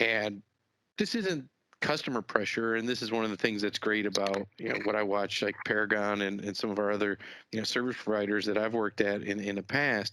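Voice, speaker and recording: Monotone, flat intonation from a man with a Chicago accent, fairly low in pitch and bright and sharp in tone, at a fairly quick pace, on a very clean recording with a silent background. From US Midwest, Chicago. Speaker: business executive. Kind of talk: podcast interview.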